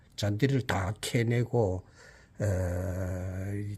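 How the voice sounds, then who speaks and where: Recorded very cleanly against a silent background, a man talks in a somewhat breathy voice with fairly low pitch. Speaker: retired school principal. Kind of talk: garden tour vlog narration. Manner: halting, many fillers.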